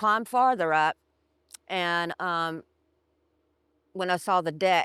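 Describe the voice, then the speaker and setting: A woman of fairly low pitch pauses long and often, on a very clean recording with a silent background and a dry, close sound with no echo. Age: 60s. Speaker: storm survivor. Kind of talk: interview testimony. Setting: outdoors by the river at her former home site.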